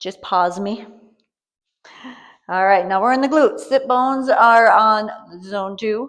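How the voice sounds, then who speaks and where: At a fairly slow pace, a woman with a fairly high pitch speaks with lively intonation. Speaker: fitness instructor. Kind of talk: guided workout tutorial.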